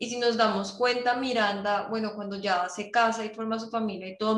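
There is audible room echo around a woman speaking. She keeps a moderate pace with monotone, flat intonation. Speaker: podcast host. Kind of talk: casual interview chat.

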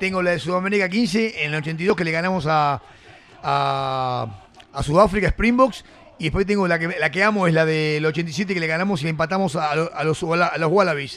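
Animated in tone, a man with a Rioplatense accent speaks at a high pitch and moderate pace with ordinary pitch variation. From Argentina, Buenos Aires area (San Martín). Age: 60s. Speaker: former rugby player. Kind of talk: casual interview. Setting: studio.

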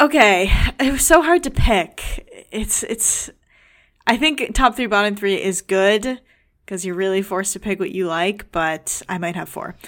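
A woman's plain, everyday voice at medium pitch, fairly slow in pace, with lively intonation. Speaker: podcast co-host. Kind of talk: casual chat. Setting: studio.

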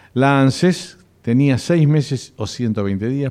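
Over a quiet background, a man speaks with lively intonation and a dark, mellow tone. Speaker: radio host, doctor. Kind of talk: radio health show.

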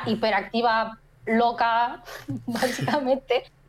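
A woman's fairly high voice holds fairly even intonation. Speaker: photographer and photography teacher. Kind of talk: casual chat. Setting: live stream.

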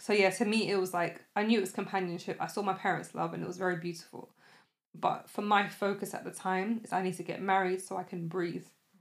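Monotone and flat, the voice in a London accent moves at a very fast pace. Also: woman, medium pitch for a woman. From West London (Shepherd's Bush), North African family. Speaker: podcast host. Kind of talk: casual chat.

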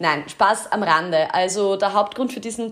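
A woman speaks in a Styrian accent. Her pitch sits in the medium range. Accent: Styrian Austrian German, slips into dialect. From Austria, Styria (Kapfenberg). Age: 30s. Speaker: podcast host. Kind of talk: casual podcast monologue.

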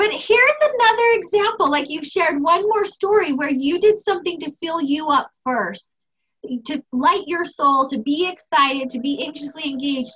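In an American accent, a woman with a raised, projected voice and a bright, sharp tone speaks at a moderate pace, animated and enthusiastic, with lively intonation. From United States. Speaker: anxiety coach and podcast host. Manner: animated, enthusiastic.

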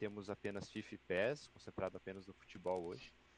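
His very deep, low voice keeps fairly even intonation. This man talks at a moderate pace. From Santa Catarina, Brazil (Joinville). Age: 30s. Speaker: esports team president. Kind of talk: casual chat.

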